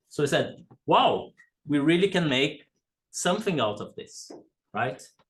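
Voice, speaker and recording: A man's fairly high, somewhat breathy voice carries lively intonation. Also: fairly slow pace. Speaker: academic speaker, game researcher. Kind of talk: conference talk. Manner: slow; hesitant, many fillers.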